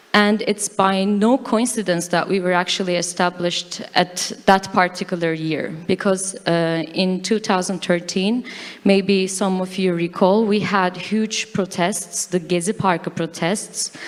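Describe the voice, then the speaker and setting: With a Turkish accent, a woman speaks at a medium pitch and a fairly slow pace, with hardly any pauses and fairly even intonation, over noticeable background noise. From Turkey. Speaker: fact-checker. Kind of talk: conference talk. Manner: halting.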